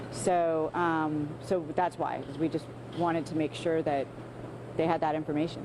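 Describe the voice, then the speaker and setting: A woman's very deep, low-pitched voice, monotone and flat in intonation. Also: moderate pace. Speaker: local official. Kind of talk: interview answer.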